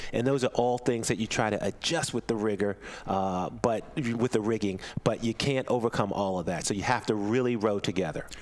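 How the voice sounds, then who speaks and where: A normal speaking voice from a man with an American accent, fairly low in pitch, with ordinary pitch variation and a fairly quick pace. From US Mid-Atlantic. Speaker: rowing commentator. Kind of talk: live commentary.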